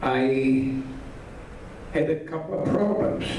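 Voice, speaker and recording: In a room with audible echo and noticeable background noise, a man with a central European accent talks with fairly even intonation. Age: 80s+. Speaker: Holocaust survivor speaker. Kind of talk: talk to an audience. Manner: halting.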